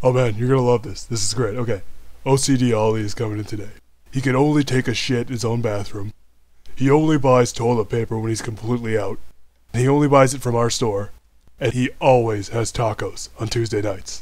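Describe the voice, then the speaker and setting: In a cartoonish character voice, a man talks fairly quickly with a smug tone, a medium pitch and fairly even intonation. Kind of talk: cartoon comedy voice acting. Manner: laid-back, smug, mischievous.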